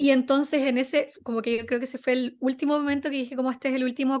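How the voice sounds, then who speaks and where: A woman speaks with a Chilean accent. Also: quiet background. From Chile, Viña del Mar. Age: 20s. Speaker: journalist and content manager. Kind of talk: interview. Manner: casual, many fillers.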